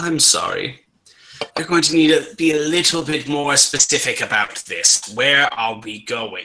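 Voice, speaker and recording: A man puts on a character voice. It sits fairly high in pitch. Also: moderate pace. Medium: actual play. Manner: composed, demanding.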